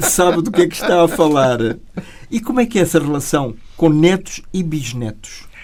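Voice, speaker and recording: A man talks in a high voice with a European Portuguese accent. His intonation is lively. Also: moderate pace. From Portugal. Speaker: radio interviewer. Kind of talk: interview.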